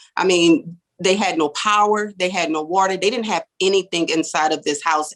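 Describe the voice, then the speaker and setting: Using ordinary pitch variation, a woman with an American accent speaks at a moderate pace and medium pitch. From US South, New Orleans. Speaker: real estate developer. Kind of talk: testimony.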